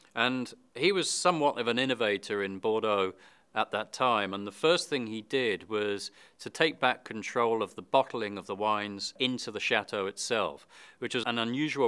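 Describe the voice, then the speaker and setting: The speaker has a British accent and a bright, sharp tone, talking at a moderate pace with ordinary pitch variation. The recording is very clean, with a silent background. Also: man, medium pitch for a man. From Britain. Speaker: wine expert presenter. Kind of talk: scripted presentation.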